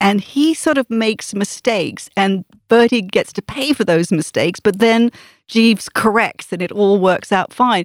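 Delivered at a moderate pace, a plain, everyday voice comes through with a dry, close sound and no echo. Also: woman. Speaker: author giving book recommendation. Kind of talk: casual book recommendation. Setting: studio.

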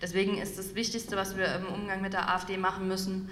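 Monotone, flat speech comes through noticeable background noise and audible room echo. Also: woman. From Saxony, eastern Germany (Dresden). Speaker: former party politician and author. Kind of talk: public talk interview. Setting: stage with audience.

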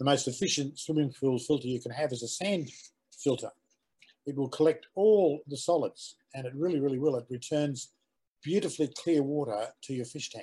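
Speaking with an Australian accent, a man has a fairly high pitch and a dark, mellow tone. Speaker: aquaponics educator. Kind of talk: casual interview chat. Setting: video call.

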